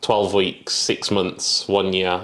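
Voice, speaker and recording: In a very deep, low pitch, a man talks with monotone, flat intonation. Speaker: property entrepreneur. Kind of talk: interview. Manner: casual.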